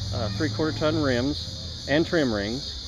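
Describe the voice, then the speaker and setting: Noticeable background noise mixes with audible room echo. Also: man. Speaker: truck owner. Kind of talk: casual interview.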